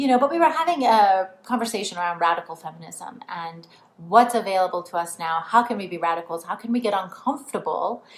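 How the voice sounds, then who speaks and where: Over noticeable background noise, someone talks at a very fast pace with lively intonation and big swings in loudness. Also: woman, medium pitch for a woman. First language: not English. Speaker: spiritual coach. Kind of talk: online training talk. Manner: casual, filler-heavy.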